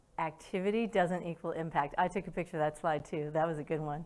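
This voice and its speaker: A woman speaks at a moderate pace in a fairly low voice. Her pitch varies in an ordinary way. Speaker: conference speaker and customer success coach. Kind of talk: interactive conference talk. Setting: stage with audience. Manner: loud; animated.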